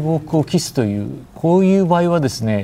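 At a fairly slow pace, a man with a plain, everyday voice speaks with lively intonation. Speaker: newspaper editorial writer, former Moscow correspondent. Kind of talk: TV news panel discussion.

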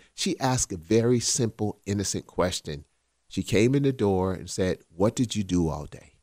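An American accent comes through in a plain, everyday voice at a moderate pace. The recording is very clean with a silent background, dry and close with no echo. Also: man, fairly low pitch for a man. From South Carolina. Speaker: podcast co-host. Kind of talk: casual chat.

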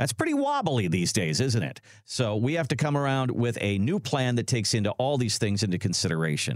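Moving at a fairly quick pace with hardly any pauses, a man with an ordinary speaking voice keeps a medium pitch, lively intonation and very even loudness. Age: 60s. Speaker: radio co-host. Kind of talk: casual chat.

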